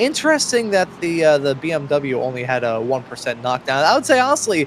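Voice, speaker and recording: A man with an American accent and a fairly high pitch, talking fairly quickly over noticeable background noise. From US Northeast, Philadelphia. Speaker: sim racing commentator. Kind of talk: live commentary.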